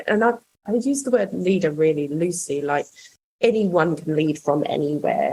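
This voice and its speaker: A woman's very deep, low pitch with a dark, mellow tone, somewhat breathy, at a moderate pace with ordinary pitch variation. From another country, not Australia. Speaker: rail construction project manager. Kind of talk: podcast interview. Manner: hesitant, many fillers.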